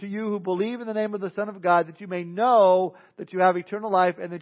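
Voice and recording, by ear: The voice is reading aloud in a natural voice, with fairly even intonation.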